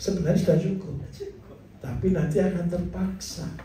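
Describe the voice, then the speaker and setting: There is noticeable background noise and audible room echo. A man speaks at a high pitch. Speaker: farming teacher. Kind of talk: lecture. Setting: class with audience. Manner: animated.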